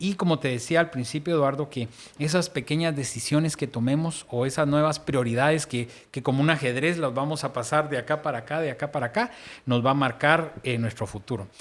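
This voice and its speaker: A man's unremarkable speaking voice, fairly high in pitch with ordinary variation, at a fairly quick pace. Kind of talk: casual faith discussion.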